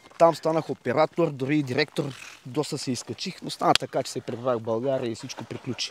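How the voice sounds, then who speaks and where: An ordinary speaking voice moves at a fairly quick pace with fairly even intonation and big swings in loudness, in a dry, close sound with no echo. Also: man, medium pitch for a man. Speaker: dog owner. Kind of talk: casual interview.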